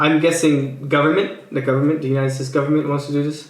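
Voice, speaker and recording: Amid noticeable background noise and audible room echo, a man speaks with a fairly high pitch. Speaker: political commentary YouTuber. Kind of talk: casual commentary reacting to tweets. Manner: hesitant, many fillers and restarts.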